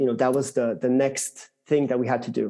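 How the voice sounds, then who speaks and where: A man's voice sits at a medium pitch with a dark, mellow tone. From France. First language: French. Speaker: tech executive. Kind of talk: interview. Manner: hesitant, many fillers.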